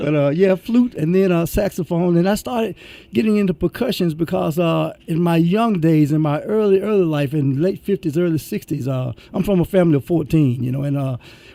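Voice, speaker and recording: A man speaks in a high voice with a Memphis accent and ordinary pitch variation. His pace is fairly quick, with hardly any pauses. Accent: Southern US (Memphis). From Memphis, Tennessee, US South. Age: 60s. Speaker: musician. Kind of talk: radio interview.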